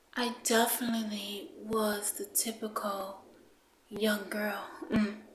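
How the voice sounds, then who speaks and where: A woman's very slow, fairly high-pitched speech with fairly even intonation, audible room echo and noticeable background noise. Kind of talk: personal testimony. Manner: halting, many fillers.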